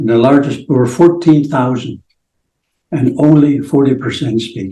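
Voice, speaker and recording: In a somewhat breathy, dark and mellow voice, a man speaks at a fairly slow pace with ordinary pitch variation. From Blackfoot reserve, Alberta, Canada. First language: Blackfoot. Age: 70s. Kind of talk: interview. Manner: halting.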